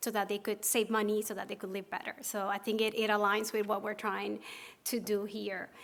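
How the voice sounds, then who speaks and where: In a Spanish accent, a woman with a medium pitch speaks at a fairly quick pace with monotone, flat intonation. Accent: Spanish accent, noticeable. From Puerto Rico. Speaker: pharmacist and association officer. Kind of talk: conference presentation. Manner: hesitant, with fillers and repetitions.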